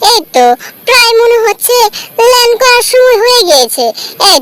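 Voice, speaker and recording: A squeaky, put-on character voice. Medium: fan dub. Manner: bossy, excitable.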